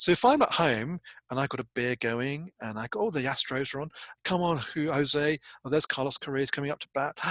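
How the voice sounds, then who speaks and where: Bright and sharp in tone, a man talks at a fairly quick pace with fairly high pitch and ordinary pitch variation, the sound dry and close with no echo. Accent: British. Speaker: university lecturer. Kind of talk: recorded lecture. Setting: recording alone without live audience. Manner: animated, conversational.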